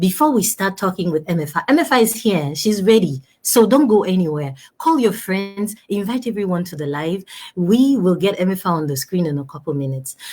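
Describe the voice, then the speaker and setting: An animated, somewhat breathy woman's voice at a medium pitch, with very wide pitch swings and a fairly quick pace. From Togo. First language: French. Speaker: talk show host. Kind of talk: live stream talk show. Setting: live video stream.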